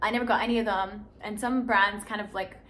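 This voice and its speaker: Audible room echo surrounds an animated tone delivered at a fairly quick pace. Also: woman. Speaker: lifestyle YouTuber and content creator. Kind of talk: casual vlog talk to camera. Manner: fast.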